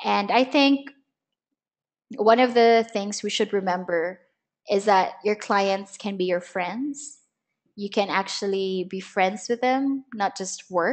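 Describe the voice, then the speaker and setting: A woman's very slow speech with ordinary pitch variation over a quiet background. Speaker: virtual assistant trainer. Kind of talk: webinar lecture. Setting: online webinar. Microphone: internet connection problems.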